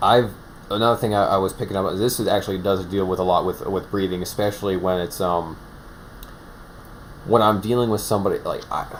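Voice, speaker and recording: Over noticeable background noise, a man with a fairly low pitch talks at a fairly quick pace with fairly even intonation. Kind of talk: casual chat. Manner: halting, many restarts.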